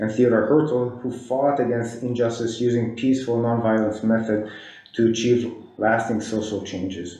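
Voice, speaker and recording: With noticeable background noise and audible room echo, a man speaks at a medium pitch. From Israel. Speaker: professor and commissioner. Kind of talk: prepared statement read aloud at public meeting.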